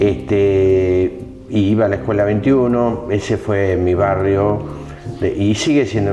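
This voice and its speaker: Music plays in the background and audible room echo surrounds a man with a fairly low pitch. He speaks at a fairly slow pace with ordinary pitch variation. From Argentina, Tandil (Buenos Aires province). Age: 60s. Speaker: interviewee sharing life story. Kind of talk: interview. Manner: hesitant, many fillers.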